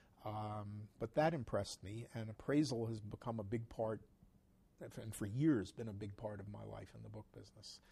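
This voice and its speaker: A man with an American accent speaks in a somewhat breathy voice with a dark, mellow tone, big swings in loudness, and ordinary pitch variation. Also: fairly low pitch for a man, moderate pace. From New York City. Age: 60s. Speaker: antiquarian bookseller. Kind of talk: interview. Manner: halting.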